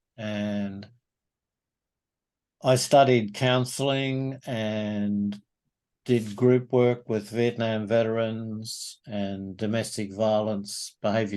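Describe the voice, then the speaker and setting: With an Australian accent, a man speaks very slowly at medium pitch and with fairly even intonation. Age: 70s. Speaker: men's group facilitator. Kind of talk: interview.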